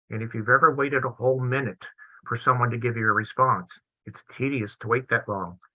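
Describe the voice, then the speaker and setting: Man's voice at medium pitch, bright, sharp tone, fairly even intonation, fairly quick pace. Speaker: psychologist presenter. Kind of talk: webinar lecture. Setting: video webinar. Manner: fast.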